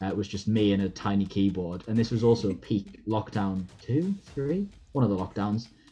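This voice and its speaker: A man with a Geordie accent has a dark, mellow tone and a fairly low pitch. He talks at a fairly quick pace with ordinary pitch variation. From Newcastle, England. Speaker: actor. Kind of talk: interview answer.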